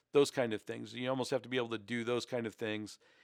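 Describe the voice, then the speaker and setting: A man's medium-pitched voice with fairly even intonation, on a very clean recording with a silent background. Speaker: YouTuber. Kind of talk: casual commentary. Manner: varied pitch and pace; halting, many fillers.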